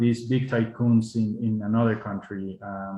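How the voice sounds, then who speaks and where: Fairly even intonation with a Spanish accent. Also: man. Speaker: diplomat. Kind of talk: panel talk. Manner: halting.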